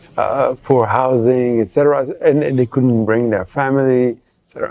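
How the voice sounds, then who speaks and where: A man is talking. His speech carries a non-native accent. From Geneva, Switzerland. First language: French. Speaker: public health professor, journal editor. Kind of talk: interview. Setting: conference. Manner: halting, many fillers.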